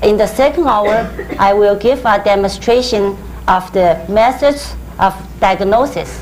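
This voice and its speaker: Against noticeable background noise and audible room echo, a woman with a Chinese accent speaks at a fairly slow pace and medium pitch, with ordinary pitch variation and very even loudness. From China, Hubei. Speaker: Chinese medicine practitioner. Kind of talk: lecture. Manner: halting.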